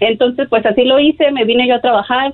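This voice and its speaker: A woman speaks with ordinary pitch variation. Her voice is high in pitch. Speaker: caller. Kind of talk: testimony.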